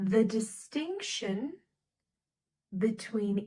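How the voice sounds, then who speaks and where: Using lively intonation, a woman speaks with an American accent at a fairly high pitch. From US Midwest, Nebraska. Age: 20s. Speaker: English teacher. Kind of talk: slow English lesson podcast. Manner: slow; loud.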